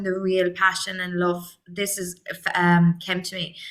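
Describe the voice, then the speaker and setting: A woman with an Irish accent speaks fairly slowly at a medium pitch. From Ireland, Limerick. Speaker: actress and acting coach. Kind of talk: interview.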